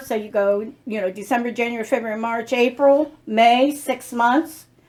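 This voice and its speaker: A woman's fairly high pitch with fairly even intonation, in a plain, everyday voice. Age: 60s. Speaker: lifestyle vlogger. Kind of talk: casual chat.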